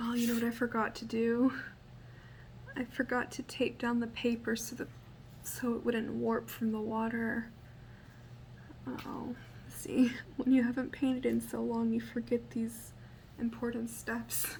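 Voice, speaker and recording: The voice is soft-spoken and set at a fairly slow pace. Long, frequent pauses break it up. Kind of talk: ASMR painting tutorial.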